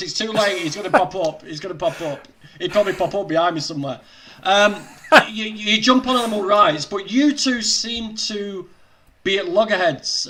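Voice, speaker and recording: The man's pitch is high, with ordinary variation. He speaks at a moderate pace. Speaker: vegan livestream host. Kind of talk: casual livestream interview talk.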